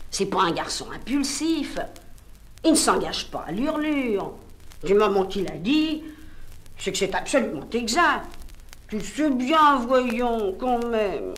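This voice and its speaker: A woman with a high voice speaks at a very slow pace, with long, frequent pauses. Her intonation is lively. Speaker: audiobook reader. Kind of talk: literary audiobook reading. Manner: narrative, lively.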